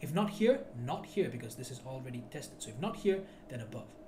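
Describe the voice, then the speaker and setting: With very wide pitch swings, a man talks at a moderate pace while audible room echo and noticeable background noise surround him. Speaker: forex trading teacher. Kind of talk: tutorial. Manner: loud; animated.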